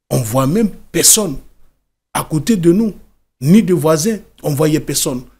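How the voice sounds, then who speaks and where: A man's fairly high, dark, mellow voice with lively intonation and long, frequent pauses. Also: moderate pace. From Côte d'Ivoire. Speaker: author and former migrant worker; interview guest. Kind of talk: interview testimony. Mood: calm, serious recounting. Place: studio. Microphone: studio mic.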